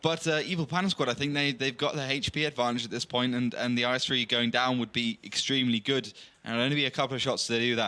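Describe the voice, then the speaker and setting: A man with a West Country accent talks at a very fast pace with hardly any pauses, at a medium pitch. His tone is bright and sharp, his loudness very even and his intonation fairly even. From England, Bristol. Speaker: esports commentator. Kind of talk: live commentary.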